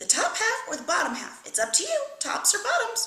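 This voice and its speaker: A woman puts on a squeaky character voice at an extremely high pitch, raised and projected. She talks at a fairly quick pace, with a slight echo. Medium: read story. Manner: folksy, smooth-talking.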